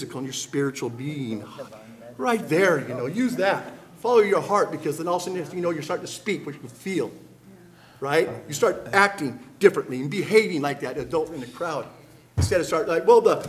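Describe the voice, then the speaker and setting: Light background noise sits behind the voice. A man talks at a fairly quick pace. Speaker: panelist. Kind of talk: impassioned panel talk. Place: hall. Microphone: podium.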